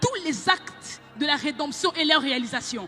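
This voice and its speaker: Music plays in the background as the speech unfolds at a fairly slow pace. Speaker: preacher. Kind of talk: sermon.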